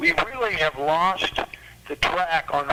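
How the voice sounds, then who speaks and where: A man talks at a moderate pace amid noticeable background noise. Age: 70s. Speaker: arts educator and musician. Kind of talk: panel talk at a political club meeting. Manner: halting, repeats words.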